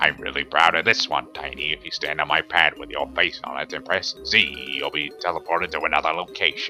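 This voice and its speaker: A man performs a put-on character voice at a fairly quick pace. Clear music plays in the background. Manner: cranky, grumpy.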